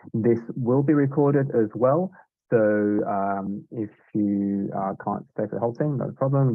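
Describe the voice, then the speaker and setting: With music in the background, a man in a British accent talks at a moderate pace in a fairly low pitch, his intonation lively. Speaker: software sales manager. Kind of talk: webinar product demo. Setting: Zoom webinar. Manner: hesitant, many fillers and repeats.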